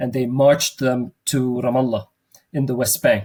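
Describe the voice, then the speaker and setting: A man's somewhat breathy voice, medium in pitch, moves at a moderate pace. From Jerusalem. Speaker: theologian. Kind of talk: interview.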